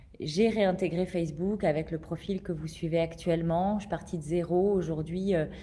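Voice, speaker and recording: A woman with a fairly low pitch and a dark, mellow tone talks at a moderate pace. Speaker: life coach and entrepreneur. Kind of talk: casual live video talk. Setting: greenhouse, livestream. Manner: hesitant, many fillers. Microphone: echoing room.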